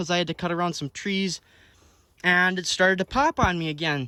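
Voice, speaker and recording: A man projects a raised voice at a high pitch with a bright, sharp tone. His intonation stays fairly even, and the sound is dry and close with no echo. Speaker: farmer and farm vlogger. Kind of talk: casual vlog narration. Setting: outdoors on a farm field. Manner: loud.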